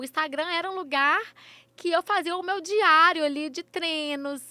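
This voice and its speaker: The voice is raised and projected at a moderate pace. The sound is dry and close, with no echo. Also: woman. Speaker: influencer and runner. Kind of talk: interview. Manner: halting, repeated syllables.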